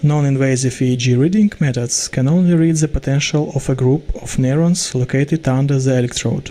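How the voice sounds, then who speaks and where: The speaker talks at a fairly quick pace with a Russian accent and a dark, mellow tone. Loudness stays very even and intonation fairly even. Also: man, fairly high pitch for a man. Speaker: student researcher. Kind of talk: pre-recorded research presentation. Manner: formal.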